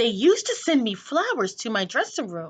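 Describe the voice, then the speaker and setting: At a moderate pace, a woman performs a put-on character voice with a high pitch and very wide pitch swings. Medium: read story. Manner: whispering, confiding.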